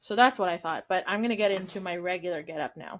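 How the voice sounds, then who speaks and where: The pitch moves in an ordinary way. The recording is very clean, with a silent background. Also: woman. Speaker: podcast co-host. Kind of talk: casual chat. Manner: puts on Scottish accent at times.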